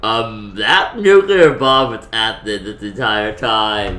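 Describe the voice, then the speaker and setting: A man at a fairly slow pace. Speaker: anime reaction vlogger. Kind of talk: casual vlog chat. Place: home room.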